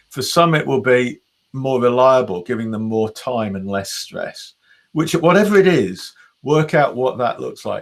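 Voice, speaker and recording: This is a man with a normal speaking voice at medium pitch. He talks at a moderate pace with lively intonation. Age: 60s. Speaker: business mentor. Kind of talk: interview.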